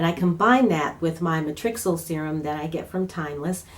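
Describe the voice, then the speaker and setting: A woman talks at a fairly quick pace. Her pitch shows ordinary variation. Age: 60s. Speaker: beauty vlogger. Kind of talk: casual product review talk to camera. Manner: hesitant, many fillers.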